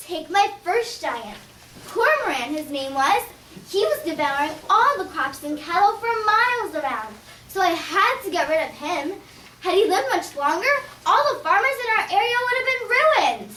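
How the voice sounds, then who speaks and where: Over clear background noise, a female-sounding voice puts on a cheerful character voice at an extremely high pitch, moving at a moderate pace. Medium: audio drama. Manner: earnest, cheerful.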